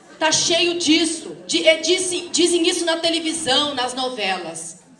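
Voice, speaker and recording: A woman with high pitch speaks at a fairly slow pace, with audible room echo and noticeable background noise. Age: 60s. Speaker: teacher and activist speaker. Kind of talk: lecture. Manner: halting.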